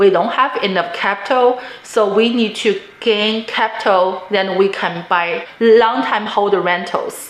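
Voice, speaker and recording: Fairly high-pitched and fairly slow, a woman speaks with a non-native accent over noticeable background noise. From immigrant to the US, non-native English speaker. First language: not English. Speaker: real estate investor, vlogger. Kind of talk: personal story and advice monologue.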